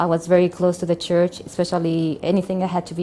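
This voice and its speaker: The speaker is a woman with a fairly low pitch. She talks in a Spanish accent. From Colombia. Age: 40s. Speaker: convert sharing life story. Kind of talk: testimony. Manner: halting.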